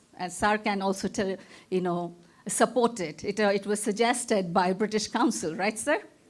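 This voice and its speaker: A woman speaks with a Bengali accent. Her pitch is medium and her pace is moderate. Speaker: professor, keynote speaker. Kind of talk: conference keynote lecture. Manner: stammers on long words.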